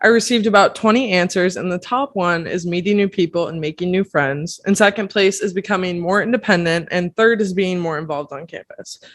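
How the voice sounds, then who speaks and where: With an American accent, a woman speaks at a fairly quick pace with hardly any pauses, using an unremarkable speaking voice at a medium pitch and ordinary pitch variation. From Pennsylvania. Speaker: podcast host, college student. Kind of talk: casual interview.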